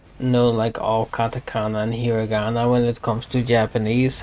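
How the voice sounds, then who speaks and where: A man's medium-pitched voice with a non-native accent, monotone, flat intonation and a moderate pace. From Europe. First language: not English. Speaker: streamer. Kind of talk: casual chat. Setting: live stream.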